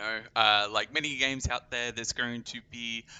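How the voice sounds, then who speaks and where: This man speaks at medium pitch with an Australian accent. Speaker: game community manager. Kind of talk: live stream gameplay and Q&A. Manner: casual, filler-heavy.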